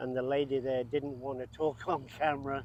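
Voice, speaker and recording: A man with an English accent, fairly high-pitched, at a fairly slow pace. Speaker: RV travel vlogger. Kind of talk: casual travel vlog chat; on-location piece to camera. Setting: outdoors among wildflowers.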